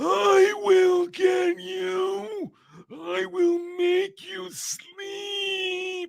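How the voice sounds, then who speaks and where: A man puts on a high-pitched character voice with a menacing tone. He speaks at a very slow pace. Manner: menacing, creepy.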